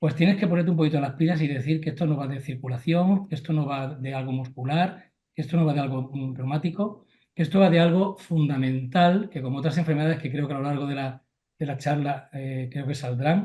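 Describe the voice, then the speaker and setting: A man speaks at a fairly quick pace in a fairly high pitch with a dark, mellow tone. His voice is somewhat breathy, with ordinary pitch variation. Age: 60s. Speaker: family doctor. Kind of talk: panel discussion.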